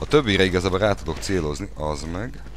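Very fast, very deep and low male speech, with noticeable background noise. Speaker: gaming video creator. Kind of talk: let's play commentary. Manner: animated.

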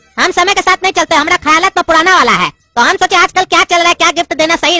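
A cartoonish character voice rattles along at a very fast pace. Music plays in the background. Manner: argumentative, scornful, sarcastic.

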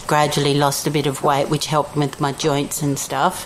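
Over noticeable background noise, a woman with an Australian accent talks in a very deep, low pitch. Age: 50s. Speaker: retreat participant. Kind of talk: interview.

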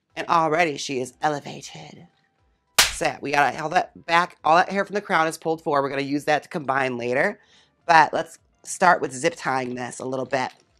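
A woman talks at a fairly quick pace in a very deep, low pitch. Her pitch variation is ordinary, with music in the background. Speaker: drag queen wig stylist. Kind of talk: casual talk to camera. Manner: chatty, campy.

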